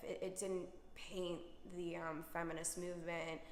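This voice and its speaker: Noticeable background noise beneath a woman's medium pitch. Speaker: singer-songwriter. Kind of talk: interview answer.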